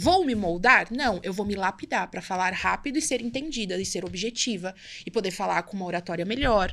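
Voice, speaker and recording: At a medium pitch, a woman delivers her words fairly quickly. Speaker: entrepreneur, brand and community builder. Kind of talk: podcast interview. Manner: fast.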